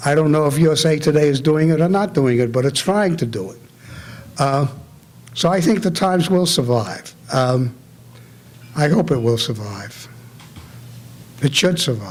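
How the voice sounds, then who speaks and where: Speaking at a moderate pace with long, frequent pauses, a man with a fairly high pitch uses lively intonation in a room with audible echo. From New York City (Bronx), immigrant from Germany. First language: German. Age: 80s+. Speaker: retired newspaper editor. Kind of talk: Q&A after a talk.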